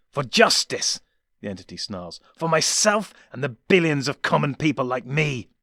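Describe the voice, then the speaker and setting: A man growls in a put-on character voice with a menacing tone. He keeps a fairly high pitch and a moderate pace. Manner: snarling, menacing, bitter.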